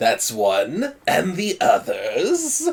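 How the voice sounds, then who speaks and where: A man performs a put-on character voice at an extremely high pitch. His tone is theatrical. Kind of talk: showman announcer. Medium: actual play. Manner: theatrical, commanding.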